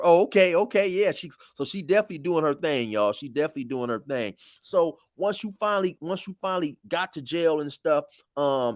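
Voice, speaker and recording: The recording is very clean, with a silent background. Here an ordinary speaking voice goes at a fairly quick pace, its intonation lively. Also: man, fairly high pitch for a man. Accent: American. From California. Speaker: interviewer, YouTube host. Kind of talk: casual interview.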